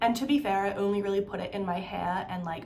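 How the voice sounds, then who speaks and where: Noticeable background noise and audible room echo surround a woman speaking with ordinary pitch variation. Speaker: beauty and lifestyle vlogger. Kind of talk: casual chat. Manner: casual, chatty with many fillers.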